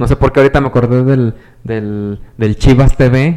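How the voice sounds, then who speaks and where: This man has a dark, mellow tone and medium pitch, speaking at a moderate pace with fairly even intonation. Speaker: podcast co-host and teacher. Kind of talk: casual chat.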